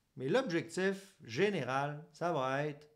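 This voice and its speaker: The speaker has a Quebec accent and lively intonation. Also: man. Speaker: psychologist. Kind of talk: educational monologue. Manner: casual.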